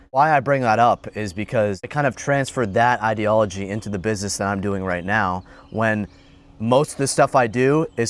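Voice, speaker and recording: Medium-pitched with a plain, everyday voice, a man speaks at a fairly quick pace. His pitch variation is ordinary. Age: young. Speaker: entrepreneur vlogger. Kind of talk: casual vlog monologue. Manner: conversational, with false starts.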